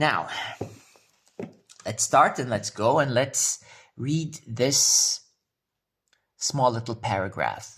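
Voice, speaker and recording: A man speaks very slowly, with long, frequent pauses. His pitch is medium, with ordinary variation. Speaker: vlogger. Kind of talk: casual vlog.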